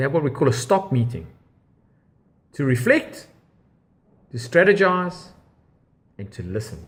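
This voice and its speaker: A man speaks with very wide pitch swings. His voice carries vocal fry. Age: 50s. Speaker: interviewer and entrepreneur. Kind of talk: interview.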